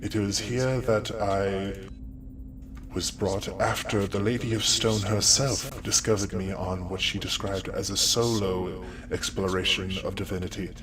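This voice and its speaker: A man puts on a character voice with a fairly low pitch at a moderate pace. Loud background noise runs underneath. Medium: actual play. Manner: polite, formal, courteous.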